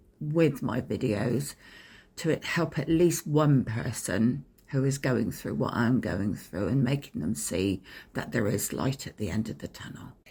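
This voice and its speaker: Using a medium pitch with very wide pitch swings and vocal fry, a man speaks at a fairly slow pace with an English accent. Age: 60s. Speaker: abuse survivor vlogger. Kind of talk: personal storytelling. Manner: hesitant, many ums.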